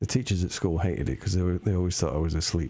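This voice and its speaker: A man with an English accent speaks quietly in a somewhat breathy, dark, mellow tone, his pitch very deep and low with ordinary pitch variation. The recording is very clean, with a silent background. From England. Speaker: live-streaming artist. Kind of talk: casual chat while drawing on stream. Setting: live stream. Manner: halting.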